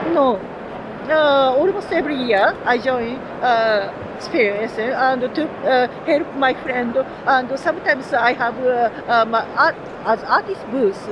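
Noticeable background noise sits behind a woman's high-pitched voice. She speaks fairly slowly with ordinary pitch variation. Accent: Japanese. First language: Japanese. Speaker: game artist. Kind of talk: interview. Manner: halting.

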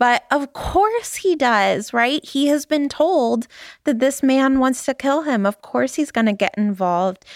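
A woman's high voice, fairly slow and with lively intonation, at very even loudness on a very clean recording with a silent background. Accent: Southern Californian. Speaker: podcast host. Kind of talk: casual chat. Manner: upspeak.

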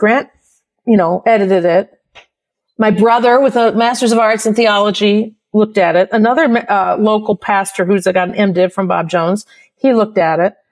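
A woman with an American accent has an ordinary speaking voice, with a fairly high pitch and ordinary pitch variation. She talks at a fairly quick pace. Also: very even loudness. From US Midwest. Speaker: university professor. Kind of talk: casual chat.

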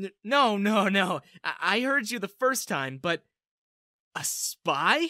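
A put-on character voice moves slowly with big pitch swings and a bright, sharp tone, recorded very cleanly against a silent background with a dry, close sound and no echo.

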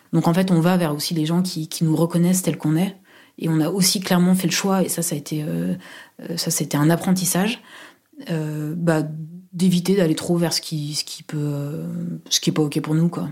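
Dark, mellow tone with monotone, flat intonation and long, frequent pauses, in a very clean recording with a silent background. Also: woman, fairly low pitch for a woman, moderate pace. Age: 30s. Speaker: university administrator. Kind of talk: personal testimony. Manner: halting, many fillers.

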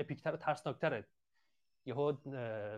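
With an ordinary speaking voice, a man talks at a fairly quick pace and a fairly high pitch over a quiet background. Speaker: fan discussion participant. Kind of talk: casual group discussion. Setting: online audio chat room.

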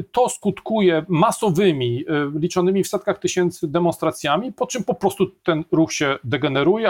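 A man's high voice with ordinary pitch variation at a moderate pace, in a dry, close sound with no echo on a very clean recording over a silent background. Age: 50s. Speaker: political scientist. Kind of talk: interview.

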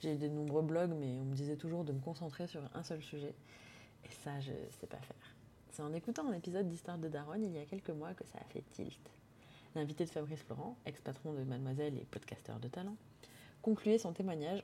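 A woman speaks in a very deep, low pitch with a dark, mellow tone. She talks at a fairly quick pace with ordinary pitch variation. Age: 30s. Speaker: podcast host. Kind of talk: solo podcast monologue.

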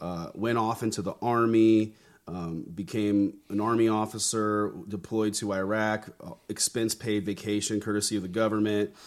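This man talks in an American accent with monotone, flat intonation. The recording is very clean and the background silent. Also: fairly low pitch for a man, moderate pace. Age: 30s. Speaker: pastor and army veteran. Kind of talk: interview conversation.

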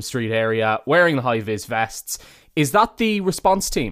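With an Irish accent, the speaker uses very wide pitch swings at a moderate pace on a very clean recording with a silent background. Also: man. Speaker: podcast host. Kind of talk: interview.

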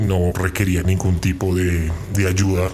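With noticeable background noise behind him, a man speaks with a fairly low pitch. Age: 30s. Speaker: person living with HIV. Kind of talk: interview testimony. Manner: halting.

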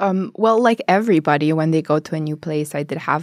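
A woman with an Albanian accent and a very deep, low voice at a moderate pace, in a very clean, dry, close recording with no echo and a silent background. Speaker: master's student. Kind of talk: casual interview chat. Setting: studio.

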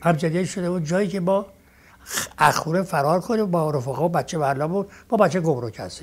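The recording of this man is very clean, with a silent background. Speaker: eyewitness of old Tehran football. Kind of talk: reminiscence interview.

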